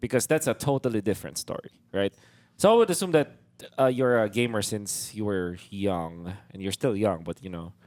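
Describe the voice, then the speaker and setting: A man with a Filipino accent speaks at a moderate pace, his pitch fairly low and his intonation lively. The sound is dry and close, with no echo. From Philippines. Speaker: podcast host and esports shoutcaster. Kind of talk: casual interview podcast. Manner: hesitant, many fillers.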